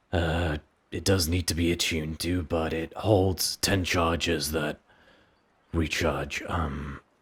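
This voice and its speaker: In a very clean recording with a silent background, a man uses a raspy put-on character voice, very deep and low in pitch, monotone and flat, at a fairly slow pace. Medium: actual play. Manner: measured, courteous.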